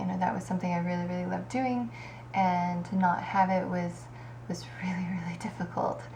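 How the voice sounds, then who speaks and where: A woman with an American accent talks at a fairly quick pace. There is audible room echo and noticeable background noise. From Kansas, US Midwest. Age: 30s. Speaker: aspiring bodybuilder, vlogger. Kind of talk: casual vlog monologue. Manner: hesitant, many fillers.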